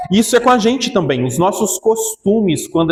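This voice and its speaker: A man's voice with lively intonation. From Brazil, Minas Gerais. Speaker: pastor. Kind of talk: sermon.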